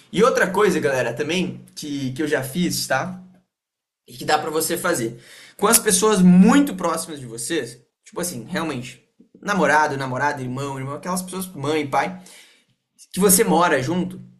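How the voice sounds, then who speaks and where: A man speaks at a moderate pace in a fairly high voice, his tone animated and his intonation lively, with long, frequent pauses and audible room echo. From Rio Grande do Sul, Brazil (Porto Alegre). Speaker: sales team leader. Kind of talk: online team meeting / training. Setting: video call. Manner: casual, animated.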